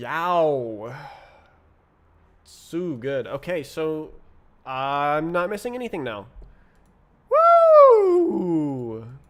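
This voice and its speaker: Amid audible room echo, a man with a fairly high pitch and lively intonation speaks at a very slow pace with long, frequent pauses. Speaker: programming livestreamer. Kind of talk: live coding stream.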